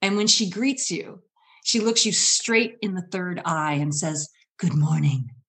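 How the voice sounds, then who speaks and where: A woman with an American accent speaks very slowly in a fairly low pitch. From US Midwest (Michigan). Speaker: storyteller and public speaking coach. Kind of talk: storytelling performance.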